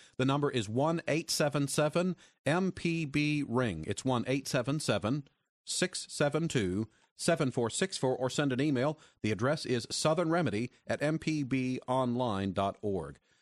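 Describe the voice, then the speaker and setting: Against a quiet background, a man with an ordinary speaking voice and fairly high pitch talks at a moderate pace with lively intonation and very even loudness, the sound dry and close with no echo. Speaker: radio host. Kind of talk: radio call-in show hosting. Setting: studio.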